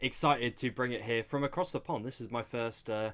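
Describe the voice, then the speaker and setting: A man with a British accent has a bright, sharp tone and ordinary pitch variation. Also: very clean recording, silent background. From England. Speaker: esports caster. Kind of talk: live commentary.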